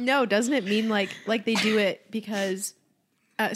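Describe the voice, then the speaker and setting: A normal speaking voice moves at a moderate pace. Its intonation stays fairly even. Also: woman. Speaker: podcast co-host. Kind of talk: casual chat.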